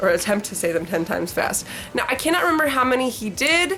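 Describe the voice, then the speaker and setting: Over music in the background and audible room echo, a woman talks at a fairly quick pace in a fairly high voice with very wide pitch swings. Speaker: booktuber. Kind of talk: casual monologue, reading challenge. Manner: fast.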